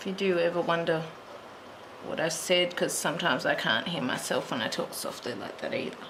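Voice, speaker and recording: Speaking at a fairly quick pace, a woman is heard with audible room echo. Noticeable background noise runs underneath. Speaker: colouring tutorial creator. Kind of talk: tutorial. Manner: soft-spoken at times; muttering to herself.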